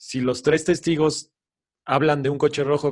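Here a man is talking. His pace is moderate. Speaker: podcast co-host. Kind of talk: casual chat.

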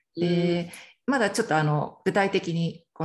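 A somewhat breathy woman's voice with fairly even intonation, against a quiet background. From Miyazaki, Japan. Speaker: parenting mentor, coaching client. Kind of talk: interview testimony.

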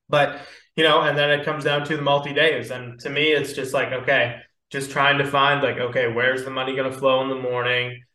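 A fairly high-pitched man at a fairly quick pace, monotone and flat in intonation, with audible room echo. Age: 20s. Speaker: podcast host and stock trader. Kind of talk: casual chat.

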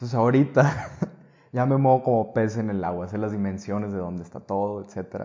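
Dark and mellow in tone, a man's fairly low voice moves at a fairly quick pace with ordinary pitch variation. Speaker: actor. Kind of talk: casual chat.

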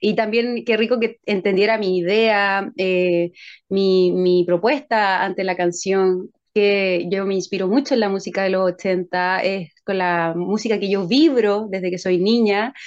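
A normal speaking voice at a fairly slow pace with fairly even intonation. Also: woman, medium pitch for a woman. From Chile, San Bernardo (southern Santiago). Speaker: singer-songwriter. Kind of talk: casual interview chat.

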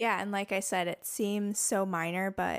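A plain, everyday voice from a woman at a medium pitch, with a fairly slow pace and a very clean recording, silent background. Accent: American. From Minnesota. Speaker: parent and wellness advocate. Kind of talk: casual interview.

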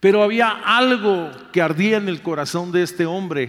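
A man talks in a high-pitched voice. His pace is fairly slow. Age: 60s. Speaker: pastor. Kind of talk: sermon.

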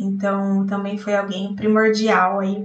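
A woman at a medium pitch, with audible echo from the room. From interior of São Paulo state, Brazil. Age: 30s. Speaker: software tester. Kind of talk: recorded personal story.

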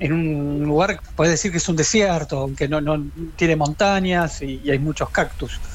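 Speaking with a Rioplatense accent, a man talks at a moderate pace and a fairly high pitch. His pitch variation is ordinary, and noticeable background noise is present. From Quilmes, Buenos Aires, Argentina. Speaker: rock journalist. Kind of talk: interview.

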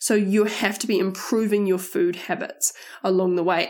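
A woman with a New Zealand accent speaks in an animated tone at a moderate pace. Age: 20s. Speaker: podcast host. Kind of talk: casual monologue.

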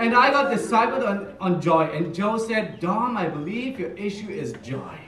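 A man's high-pitched voice moves at a moderate pace with lively intonation, noticeable background noise behind him. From Germany. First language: German. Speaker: church minister. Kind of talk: sermon.

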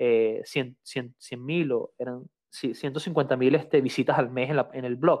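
This man has an unremarkable speaking voice. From Venezuela. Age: 30s. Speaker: photographer and engineer. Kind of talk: casual interview chat.

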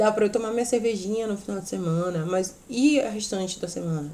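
A woman at a medium pitch and moderate pace, ordinary pitch variation, audible room echo. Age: 30s. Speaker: podcast host and teacher. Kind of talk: casual chat. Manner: not loud, no shouting.

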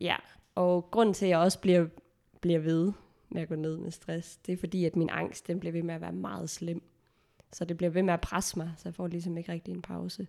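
A woman with a fairly low pitch and a dark, mellow tone talks at a fairly quick pace. Her intonation is monotone and flat. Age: 20s. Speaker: theology graduate sharing anxiety experience. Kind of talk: personal testimony in casual interview. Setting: around a dining table, recorded at home.

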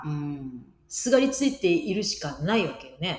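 A woman's pitch swings very widely, with audible echo from the room. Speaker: podcast co-host. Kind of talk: casual chat.

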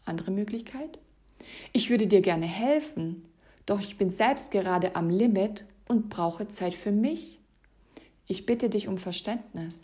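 A woman speaks at medium pitch in a dark, mellow, somewhat breathy tone with lively intonation. Her pace is fairly slow, with long, frequent pauses. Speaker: fitness and life coach podcast host. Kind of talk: solo podcast monologue. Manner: stumbling over words.

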